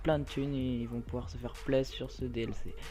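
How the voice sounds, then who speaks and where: Music plays behind a man who talks at a moderate pace. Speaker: gaming youtuber. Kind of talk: gameplay commentary. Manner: hesitant, many fillers.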